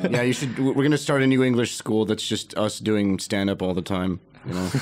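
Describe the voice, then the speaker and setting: Fairly low in pitch, a man talks at a fairly quick pace with ordinary pitch variation. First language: Russian. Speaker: podcast host, comedian. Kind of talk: casual chat.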